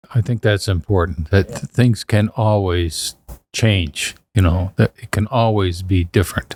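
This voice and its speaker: A man's very deep, low voice, somewhat breathy, at a fairly slow pace, with a dry, close sound and no echo. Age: 70s. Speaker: church member co-host. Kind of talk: casual chat.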